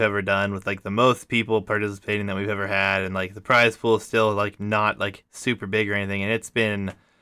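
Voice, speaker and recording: A man speaks at a fairly quick pace with a fairly low pitch and a bright, sharp tone. The recording is very clean, with a silent background. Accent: American. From US Midwest, Ohio. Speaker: gaming podcast host and tournament caster. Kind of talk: casual chat.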